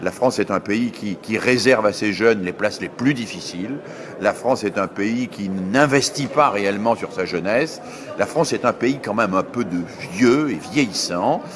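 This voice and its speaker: Noticeable background noise sits behind a man with a fairly low pitch. He speaks at a moderate pace with ordinary pitch variation. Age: 60s. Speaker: education scholar. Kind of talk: interview.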